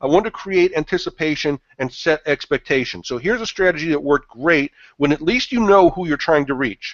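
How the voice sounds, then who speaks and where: A man talks at a fairly quick pace in a fairly high pitch, with lively intonation and hardly any pauses. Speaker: marketing consultant presenting a webinar. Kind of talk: webinar presentation. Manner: fast.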